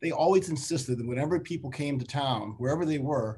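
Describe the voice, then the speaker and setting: In an American accent, a man talks in a dark, mellow tone, somewhat breathy, with ordinary pitch variation. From Chicago. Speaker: investment firm CEO; guest. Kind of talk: panel discussion webinar. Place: home room. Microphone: video call.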